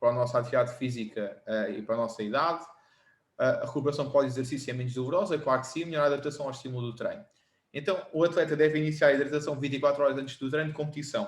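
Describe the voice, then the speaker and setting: Talking at a very fast pace, a man has a fairly high, somewhat breathy voice. Audible room echo surrounds him. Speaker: personal trainer and former rugby player. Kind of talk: lecture. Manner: measured pace.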